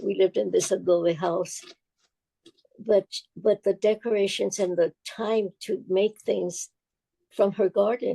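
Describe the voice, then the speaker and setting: With a dark, mellow tone and vocal fry, a woman speaks at a medium pitch, leaving long, frequent pauses, in a dry, close sound with no echo. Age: 80s+. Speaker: folk artist, altar maker and educator. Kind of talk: interview answer, personal storytelling. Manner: rambling, reflective.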